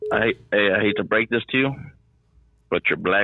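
Intonation moves normally. The delivery is neither fast nor slow. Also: man. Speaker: tattoo artist. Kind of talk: casual chat.

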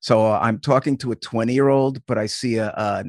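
This is a man with a normal speaking voice and an American accent, pitched at a medium level with ordinary pitch variation. The background is quiet and the sound is dry and close with no echo. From US Northeast (Long Island, New York). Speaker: youth sports coach and camp founder. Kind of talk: casual interview chat.

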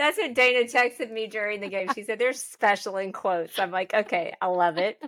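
A woman with an American accent uses an ordinary speaking voice at a fairly high pitch and a fairly quick pace, with ordinary pitch variation, in a very clean, dry, close recording with no echo and a silent background. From Oklahoma. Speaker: sports podcast co-host. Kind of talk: casual chat.

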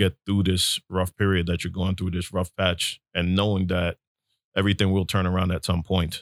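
A man with a New York accent and a very deep, low voice, monotone and flat in intonation, on a very clean recording with a silent background and a dry, close sound with no echo. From New York City (Brooklyn). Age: 40s. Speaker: real estate agent. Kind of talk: casual interview.

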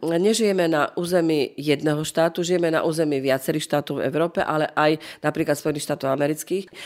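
Over a very clean recording with a silent background, a woman with a Carpathian accent speaks at a very fast pace with a very deep, low pitch, fairly even intonation and very even loudness. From northeastern Slovakia, Rusyn. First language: Rusyn (speaking Slovak). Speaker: museum director. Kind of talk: interview. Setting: museum in Prešov.

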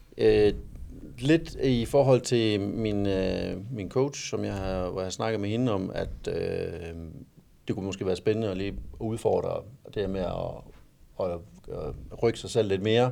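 A man speaks with a dark, mellow tone and fairly low pitch, at a fairly slow pace. His pitch varies in an ordinary way, and he takes long, frequent pauses. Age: 40s. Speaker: amateur bodybuilder. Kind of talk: casual interview. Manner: halting.

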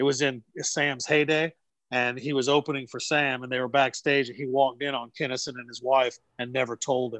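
Speaking in a Southern US accent at a fairly quick pace, this voice stays monotone and flat in intonation while swinging widely in loudness, recorded with a dry, close sound and no echo. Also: man, medium pitch for a man. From North Carolina. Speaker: comedian. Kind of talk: casual chat.

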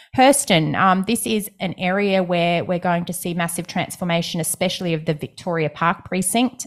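A woman with an Australian accent and fairly low pitch at a moderate pace, in a very clean recording with a silent background. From Brisbane, Australia. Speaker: property podcast co-host. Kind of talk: casual chat.

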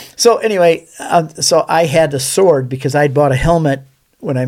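A man talks in an ordinary speaking voice. His pace is moderate and his pitch variation ordinary. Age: 60s. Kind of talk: casual interview chat. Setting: studio.

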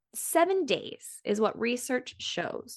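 With an American accent, a woman speaks in an animated tone. The sound is dry and close with no echo, against a quiet background. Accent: slight rural US accent when relaxed. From US Midwest, Kansas City. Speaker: sex coach and podcast host. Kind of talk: casual conversation. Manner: animated, laughs often.

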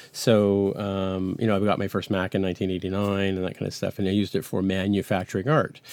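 Speaking very fast with hardly any pauses, a man holds a fairly low pitch in a monotone, flat delivery. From Canada, raised in Toronto and Montreal; born in England. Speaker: iOS developer and podcast host. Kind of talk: casual interview. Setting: home basement, remote recording.

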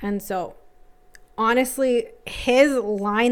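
In a Canadian accent, a woman speaks with an ordinary speaking voice, fairly high in pitch with ordinary pitch variation. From Toronto (North York), Canada. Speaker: teacher. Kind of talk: casual chat. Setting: home basement. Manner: laughs often.

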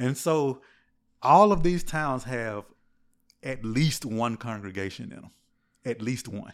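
A man at medium pitch, lively intonation and big swings in loudness, a fairly slow pace broken by long, frequent pauses. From US South, Mississippi Gulf Coast. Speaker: church member. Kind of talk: casual chat. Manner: halting, repeats words.

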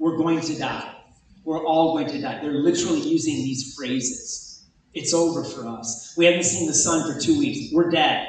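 A man's fairly high-pitched voice at a moderate pace, ordinary pitch variation, audible room echo and noticeable background noise. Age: 50s. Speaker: pastor. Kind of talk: sermon. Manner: animated.

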